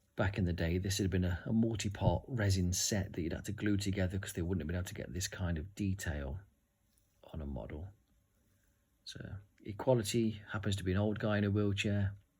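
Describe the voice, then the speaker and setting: This man's voice is somewhat breathy and fairly low in pitch, with ordinary pitch variation. He speaks at a fairly quick pace. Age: 40s. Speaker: tabletop game reviewer. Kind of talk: unboxing video. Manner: animated.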